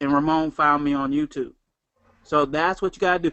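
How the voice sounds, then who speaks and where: Fairly even intonation from a man with a Southern US accent. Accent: Southern twang. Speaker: network marketing trainer. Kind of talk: motivational talk.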